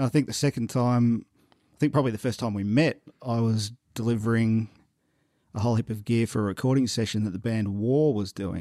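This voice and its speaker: Delivered at a fairly quick pace with fairly even intonation, this dark, mellow voice with an Australian accent comes through in a very clean recording with a silent background. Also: man, medium pitch for a man. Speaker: podcast host. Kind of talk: casual interview chat.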